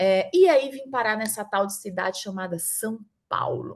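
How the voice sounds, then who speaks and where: Over a quiet background, a woman with a northeastern Brazilian accent speaks fairly slowly in a fairly high voice. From Northeast Brazil, Mossoró, Rio Grande do Norte. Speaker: startup founder, HR professional. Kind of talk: event talk, personal career story. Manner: conversational, frequent fillers.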